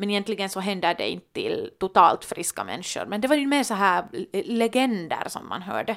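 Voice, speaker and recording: With a normal speaking voice, a woman talks at a moderate pace and medium pitch with ordinary pitch variation. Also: very clean recording, silent background. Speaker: podcast co-host, daughter. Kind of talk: casual chat.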